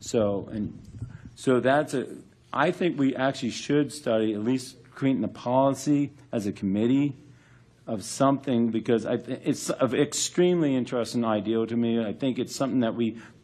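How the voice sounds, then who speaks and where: A man with an American accent, medium pitch, a dark, mellow tone, ordinary pitch variation and a moderate pace. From Florida, Orlando area (Winter Park). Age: 60s. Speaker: charter review commission member. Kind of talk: public meeting discussion. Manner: halting, many fillers and restarts.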